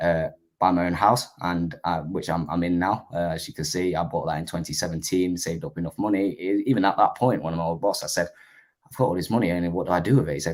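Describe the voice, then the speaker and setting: In a very clean recording with a silent background, a man with a very deep, low pitch speaks at a very fast pace. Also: ordinary pitch variation. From England (born in Vietnam, moved at eight). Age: 20s. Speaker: social media marketer. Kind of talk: interview. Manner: halting.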